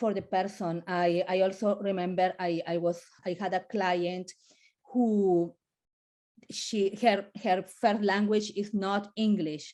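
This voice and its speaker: A woman speaks very slowly in a Colombian accent, her medium-pitched voice dark and mellow. Her intonation stays monotone and flat. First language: Spanish. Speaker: family lawyer. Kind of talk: webinar panel talk. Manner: halting, many repetitions.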